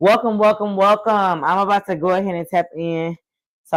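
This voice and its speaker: Someone talks at a fairly quick pace on a very clean recording with a silent background. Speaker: livestream host and gardening event organizer. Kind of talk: casual live stream chat. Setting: live video stream. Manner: loud; animated.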